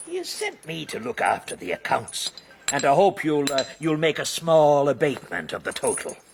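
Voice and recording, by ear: Using a put-on character voice with vocal fry and a slightly husky edge, the speaker moves at a moderate pace through very wide pitch swings. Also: man, fairly high pitch for a man.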